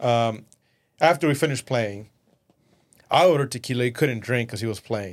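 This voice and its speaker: With a Spanish accent, a man speaks at a moderate pace on a very clean recording with a silent background. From Mexico, raised in West Texas from age 11. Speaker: entrepreneur. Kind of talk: casual interview. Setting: studio.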